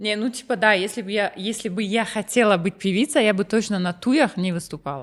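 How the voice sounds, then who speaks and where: A medium-pitched woman with a Russian accent, at a fairly quick pace with hardly any pauses, with ordinary pitch variation, in a very clean recording over a silent background. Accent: Russian-leaning when speaking Tajik. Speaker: singer and rapper. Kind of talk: casual interview chat. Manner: mixes Russian and Tajik, many fillers.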